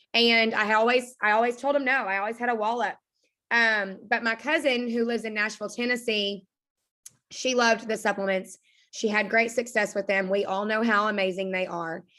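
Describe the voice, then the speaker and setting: An animated, bright, sharp voice with an Arkansas accent at a fairly quick pace, on a very clean recording with a silent background. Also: woman, fairly high pitch for a woman. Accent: Arkansas Southern. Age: 20s. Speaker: direct sales team leader. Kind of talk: motivational talk on a team call.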